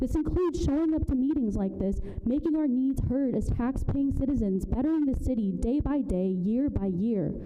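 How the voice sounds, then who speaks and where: Against noticeable background noise and audible room echo, a woman speaks fairly quickly in a high voice with lively intonation. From Burma. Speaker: public commenter at city council. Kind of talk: public comment speech. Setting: city council meeting. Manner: soft-spoken.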